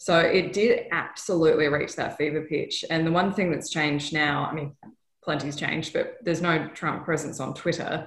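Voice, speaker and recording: A woman with an Australian accent speaks at a moderate pace in a very deep, low, somewhat breathy voice. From Western Australia, Perth. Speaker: TV news correspondent. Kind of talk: interview. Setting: video call.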